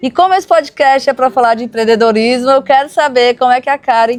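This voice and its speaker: A woman speaks at an average speed in a high voice. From Brazil, Ceará (Serra da Ibiapaba). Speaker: podcast host. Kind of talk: podcast interview.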